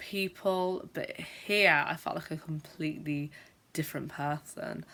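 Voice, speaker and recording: Recorded very cleanly with a silent background, a woman speaks fairly slowly at a fairly low pitch with a bright, sharp tone. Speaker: teacher who stammers, video blogger. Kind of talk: vlog monologue. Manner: stammers.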